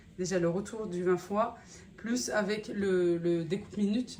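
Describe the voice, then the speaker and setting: Her medium-pitched voice shows ordinary pitch variation, and the woman's speech carries audible room echo. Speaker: family vlogger and cooking appliance seller. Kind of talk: sales pitch; casual vlog. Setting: outdoors walking. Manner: hesitant with fillers; soft-spoken.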